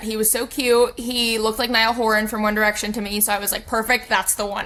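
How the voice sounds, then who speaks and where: Over noticeable background noise, a woman talks at a very fast pace with monotone, flat intonation. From Texas, San Antonio. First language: Spanish. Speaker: podcast guest sharing personal story. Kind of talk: personal testimony in casual interview. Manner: casual, filler-heavy ('like', 'um').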